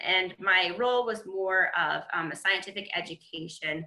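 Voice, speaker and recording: A medium-pitched woman with an American accent speaks with fairly even intonation in a quiet setting with audible room echo. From Michigan. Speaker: conservation biologist; webinar panelist. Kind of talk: webinar panel presentation. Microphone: webcam.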